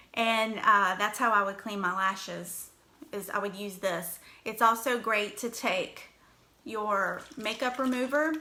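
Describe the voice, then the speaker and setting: A woman's fairly high, bright, sharp voice in a strong Virginia accent, at a fairly slow pace with ordinary pitch variation. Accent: Southern US (Virginia), strong. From US South, Danville, Virginia. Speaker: makeup brand ambassador, livestream host. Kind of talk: casual livestream tutorial. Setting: live video stream.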